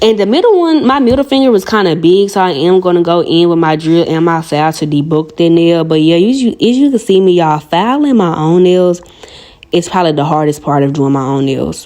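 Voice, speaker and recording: Talking at a fairly quick pace with lively intonation, a woman with a fairly low pitch and a strong Southern US accent is heard over noticeable background noise. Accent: strong Southern country. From US South, Arkansas. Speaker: nail artist and video creator. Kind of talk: tutorial with casual chat. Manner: fast; animated.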